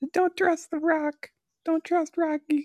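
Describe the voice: A put-on character voice sounds squeaky at an extremely high pitch. It moves at a fairly slow pace in a flat monotone.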